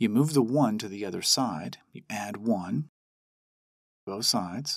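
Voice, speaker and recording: A man's unremarkable speaking voice at medium pitch, with lively intonation and a dry, close sound with no echo, on a very clean recording with a silent background. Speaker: math teacher. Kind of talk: tutorial.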